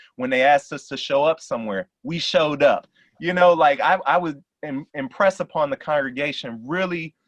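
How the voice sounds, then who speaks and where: Heard with a dry, close sound with no echo and a quiet background, a man talks in an ordinary speaking voice with fairly high pitch. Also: ordinary pitch variation, moderate pace. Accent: American. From South Side of Chicago. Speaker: pastor. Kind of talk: Q&A discussion. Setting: video call.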